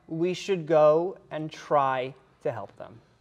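A woman talks with lively intonation. The background is quiet. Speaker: debate panelist; panelist. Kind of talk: panel debate. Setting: stage with audience. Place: hall.

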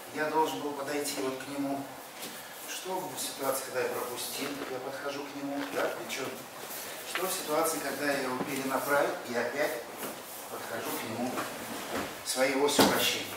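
A man talks at a moderate pace with long, frequent pauses, over loud background noise and audible room echo. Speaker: martial arts instructor. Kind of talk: tutorial. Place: gym. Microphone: camera far.

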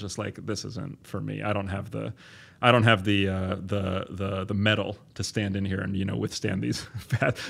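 He is a man with an American accent. His fairly low voice stays in a monotone, flat intonation. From US Northeast. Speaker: biology professor. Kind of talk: interview.

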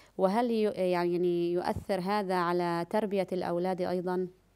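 A woman talks very slowly, her intonation fairly even, over a quiet background. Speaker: TV presenter. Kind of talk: religious talk show. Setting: studio. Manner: formal. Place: studio.

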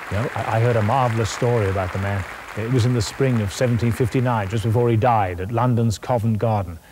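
Here is a natural reading voice. The intonation is fairly even.

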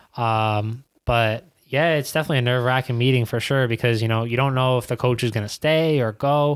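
This man speaks with an American accent at a fairly quick pace. His intonation is fairly even, his loudness very even, and the background quiet. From Queens, New York; New York. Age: 20s. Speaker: professional soccer player; podcast guest. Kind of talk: casual interview. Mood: relaxed, reflective. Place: studio. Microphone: studio mic.

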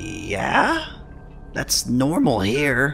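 A put-on character voice over clear background noise. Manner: naive, simple-minded.

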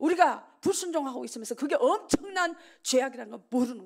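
A woman's high, animated voice with very wide pitch swings against a quiet background. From South Korea. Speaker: revival preacher. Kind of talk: sermon. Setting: church. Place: church. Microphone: podium.

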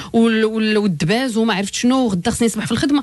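Through noticeable background noise, a woman with a fairly high pitch talks at a very fast pace with ordinary pitch variation. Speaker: life coach. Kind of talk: radio advice show.

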